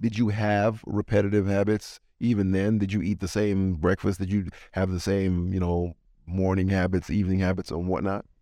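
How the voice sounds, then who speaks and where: In a very clean recording with a silent background, a man with a very deep, low pitch and a dark, mellow tone speaks at a moderate pace in a flat monotone. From Jamaica. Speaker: podcast host. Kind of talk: casual interview.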